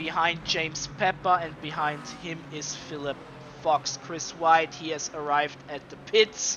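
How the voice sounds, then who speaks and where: The speaker has a non-native accent and talks at a fairly slow pace. Noticeable background noise runs underneath. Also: man, fairly high pitch for a man, big swings in loudness. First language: not English. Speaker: sim racing commentator. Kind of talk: live commentary. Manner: animated.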